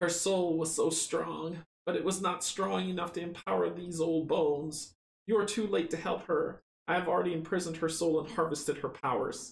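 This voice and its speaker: A man's raspy, put-on character voice, high in pitch, at a moderate pace. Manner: whispering.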